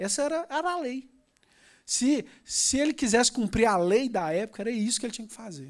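Animated in tone, a man with a Brazilian accent talks at a fairly quick pace with an extremely high pitch, lively intonation, and big swings in loudness. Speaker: preacher. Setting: church. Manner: fervent, with repeated fillers and emphatic repetition.

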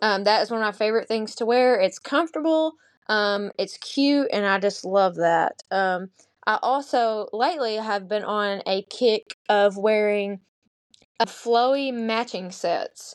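In a Southern US accent, a woman talks in a fairly high voice at a fairly slow pace with ordinary pitch variation. The sound is dry and close, with no echo. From US South, Arkansas. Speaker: teacher. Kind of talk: casual chat.

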